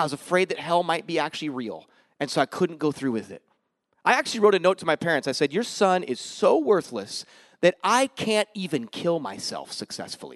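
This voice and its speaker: Against a quiet background with a dry, close sound and no echo, a man speaks fairly quickly in a high voice with very wide pitch swings. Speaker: missionary pastor. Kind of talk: sermon. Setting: church. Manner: humorous, joking.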